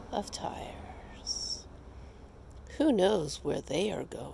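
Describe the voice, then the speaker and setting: The pace is very slow, and the sound is dry with no echo. Light background noise runs underneath. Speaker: meditation guide. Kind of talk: guided meditation. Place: garden.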